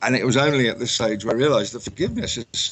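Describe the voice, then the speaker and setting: A man with an English accent, medium in pitch, at a very fast pace with lively intonation. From England. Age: 60s. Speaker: author. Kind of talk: interview. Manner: halting, repeats words.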